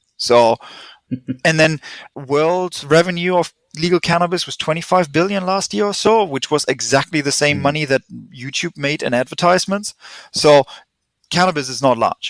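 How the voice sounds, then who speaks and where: A man with a German accent, fairly high-pitched for a man, at a moderate pace with long, frequent pauses, in a dry, close sound with no echo. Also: ordinary pitch variation. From Germany. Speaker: chemist and research company founder. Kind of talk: interview.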